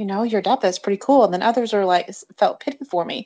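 Against a quiet background, a woman with an ordinary speaking voice talks at a moderate pace, medium in pitch, with ordinary pitch variation. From Michigan, Jackson. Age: 40s. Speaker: adoptee guest. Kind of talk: casual interview.

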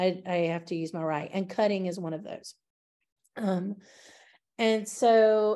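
In a Southern US accent, the voice has a dark, mellow tone with ordinary pitch variation. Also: woman. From US South. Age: 50s. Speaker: early childhood studies professor. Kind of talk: interview conversation. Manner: hesitant, many fillers.

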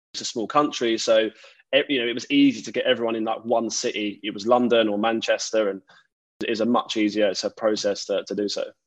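A man with an Essex accent talks at a very fast pace. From Essex, England. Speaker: podcast host and tech recruiter. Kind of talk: casual interview.

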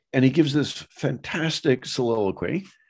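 Against a quiet background, a man with an American accent and a plain, everyday voice talks at a fairly slow pace with lively intonation. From US Northeast, Boston area. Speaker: professor. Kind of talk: interview. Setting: in his study.

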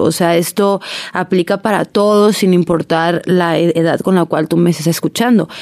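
In an ordinary speaking voice, a woman speaks at a fairly low pitch and a moderate pace, her intonation fairly even and her loudness very even. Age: 20s. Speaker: podcast host. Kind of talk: casual monologue.

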